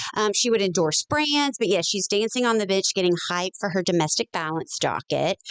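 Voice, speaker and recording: You hear a woman speaking. She has a Kentucky accent. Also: dry, close sound with no echo. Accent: Southern Kentucky. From Kentucky, Bullitt County (Mount Washington). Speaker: attorney and social media commentator. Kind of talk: podcast interview.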